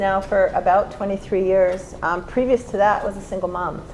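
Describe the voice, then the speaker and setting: Over noticeable background noise, a woman speaks with a medium pitch. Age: 60s. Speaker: real estate agent. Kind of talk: panel discussion.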